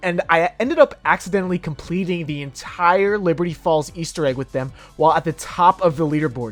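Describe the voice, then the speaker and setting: Music plays in the background. A man talks at a fairly quick pace with lively intonation. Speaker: gaming YouTuber. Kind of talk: gameplay commentary voice-over. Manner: casual, profane.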